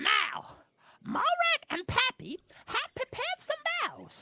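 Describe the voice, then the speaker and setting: A put-on character voice. The pitch sits extremely high. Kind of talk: wedding ceremony speech. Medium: game stream. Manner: formal, ceremonious.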